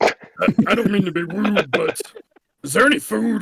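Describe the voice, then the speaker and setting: A man puts on a raspy character voice pitched high. He speaks at a moderate pace. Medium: actual play.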